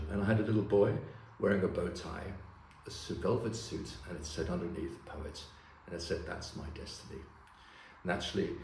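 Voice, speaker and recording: Audible room echo surrounds a man speaking at a fairly quick pace, his fairly low pitch showing ordinary pitch variation. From Germany, raised in several countries. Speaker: poet. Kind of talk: poetry reading; casual introduction.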